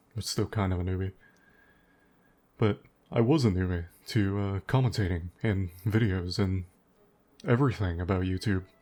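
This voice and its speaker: Music plays in the background as a man speaks with fairly low pitch. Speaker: gaming YouTuber. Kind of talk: unscripted gameplay commentary. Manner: pauses often.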